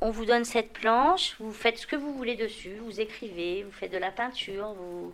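A woman talks in a normal speaking voice, fairly high in pitch, at a moderate pace. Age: 50s. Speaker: patient recovering from alcoholism. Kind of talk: testimony.

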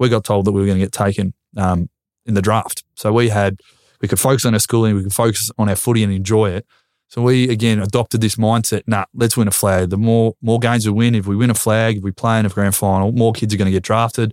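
A man speaks very fast in a fairly low, monotone, flat voice. The recording is very clean, with a silent background. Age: 20s. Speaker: retired footballer. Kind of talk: casual chat.

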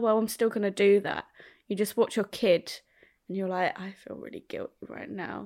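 A woman with an English accent speaks at a medium pitch with fairly even intonation. Her recording is very clean, and the background is silent. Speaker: podcast co-host, parent. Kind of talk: casual chat.

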